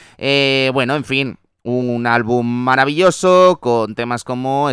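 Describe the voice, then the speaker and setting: With an animated tone, a man speaks on a very clean recording with a silent background, the sound dry and close with no echo. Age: 30s. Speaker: radio host. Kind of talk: casual chat.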